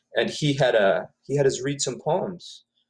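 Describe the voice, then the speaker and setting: A man speaks with a Spanish accent. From Ecuador (Quito). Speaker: author, poet. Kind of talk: interview. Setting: live video stream.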